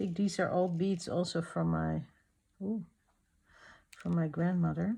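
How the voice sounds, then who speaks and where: In a very clean recording with a silent background, a soft-spoken woman talks at a fairly slow pace with very even loudness and long, frequent pauses. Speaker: art journaling youtuber. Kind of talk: crafting tutorial chat. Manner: halting.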